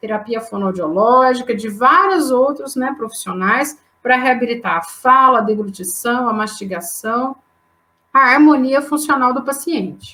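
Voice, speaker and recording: In a strong mineiro accent, a woman speaks at a high pitch with lively intonation. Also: fairly slow pace. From Brazil, southern Minas Gerais. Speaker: anatomy professor. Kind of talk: lecture. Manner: hesitant, frequent fillers.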